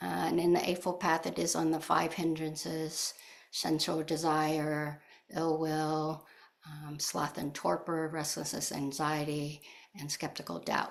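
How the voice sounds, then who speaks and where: Her pitch is very deep and low. The woman speaks at a fairly slow pace, with monotone, flat intonation. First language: not English. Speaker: Buddhist teacher and author. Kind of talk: dharma talk. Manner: hesitant, many filler words.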